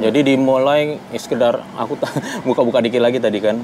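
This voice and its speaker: Man at a very fast pace, fairly even intonation, with light background noise. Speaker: interviewer and channel host. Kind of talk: casual interview questions. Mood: relaxed, friendly. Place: cafe.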